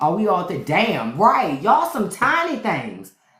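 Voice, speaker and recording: A woman speaks in an animated tone. Noticeable background noise runs beneath her. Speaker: podcast host. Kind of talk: casual chat. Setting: live stream.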